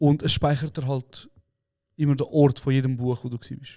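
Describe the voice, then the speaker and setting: Talking at a fairly quick pace, a man with a fairly high pitch and a dark, mellow tone keeps his intonation flat and monotone. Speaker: podcast co-host. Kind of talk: casual chat.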